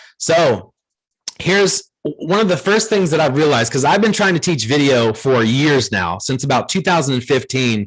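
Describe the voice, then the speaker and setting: Over a quiet background, a man with an American accent speaks at a moderate pace in an energetic tone, fairly high-pitched and somewhat breathy, with very wide pitch swings and very even loudness. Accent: Ohio accent people mistake for Southern. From Ohio. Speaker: video marketing trainer for real estate agents. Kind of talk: training workshop. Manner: energetic, conversational.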